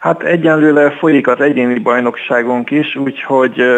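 Fairly even in intonation, a plain, everyday voice moves at a fairly slow pace. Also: man. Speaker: chess club section leader and player. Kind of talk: radio interview. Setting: phone call.

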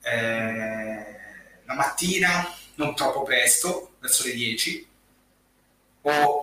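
The man's voice rests fairly high. His intonation is lively. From Massa, Tuscany, Italy. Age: 30s. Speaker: hotel receptionist and social media writer. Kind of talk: live stream interview. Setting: at home, remote video call.

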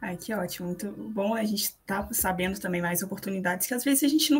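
A woman's somewhat breathy voice at a medium pitch. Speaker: student podcast co-host. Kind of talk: casual interview.

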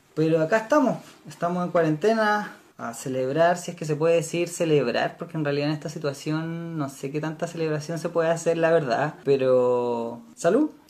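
There is noticeable background noise behind the speaker. He is a man with a fairly high pitch. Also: ordinary pitch variation, moderate pace. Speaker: podcast host. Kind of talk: casual chat.

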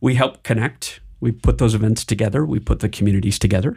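With vocal fry and an American accent, a man speaks at a medium pitch with ordinary pitch variation. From Michigan, US Midwest. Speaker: startup founder and venture capital executive. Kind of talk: interview. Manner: halting, frequent repetitions.

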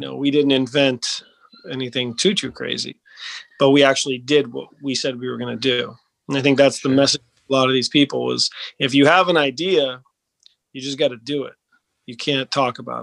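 A man's medium-pitched, fairly quick delivery in an unremarkable speaking voice, with fairly even intonation. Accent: American. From US Northeast, Maine. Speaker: business founder. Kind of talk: interview.

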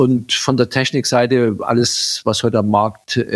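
A normal speaking voice from a man, medium in pitch, with fairly even intonation, a moderate pace and a dry, close sound with no echo. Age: 50s. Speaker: agricultural company director. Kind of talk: interview.

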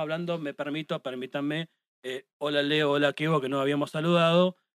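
Here a man speaks at a very fast pace with a fairly high pitch. His intonation is monotone and flat. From Argentina, La Pampa province. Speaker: live music photographer. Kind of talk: casual chat. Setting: studio.

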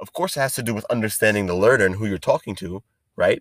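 The sound is dry and close with no echo as a man at medium pitch speaks with ordinary pitch variation. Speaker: education podcast host. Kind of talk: solo monologue podcast. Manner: fast; enthusiastic.

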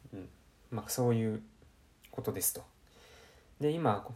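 Somewhat breathy, a man speaks at medium pitch. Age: 20s. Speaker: podcast host. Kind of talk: solo self-improvement talk. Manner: casual, many fillers.

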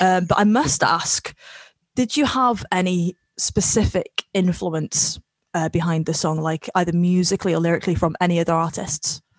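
Speaking with a Welsh accent, a woman holds a very even loudness at a fairly low pitch with ordinary variation, in a dry, close recording with no echo. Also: moderate pace. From Wales. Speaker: podcast host. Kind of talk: casual interview chat.

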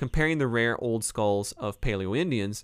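At a moderate pace, a man with a Northeast Ohio accent speaks at medium pitch on a very clean recording with a silent background. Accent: Northeast Ohio, Rust Belt. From Cleveland, Ohio. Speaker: professor and podcast host. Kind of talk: casual book review talk, live stream. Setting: live YouTube recording.

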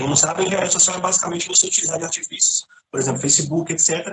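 This man speaks very fast. The rise and fall of his pitch is ordinary. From Minas Gerais, Brazil (Contagem). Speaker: IT security specialist. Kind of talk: casual chat.

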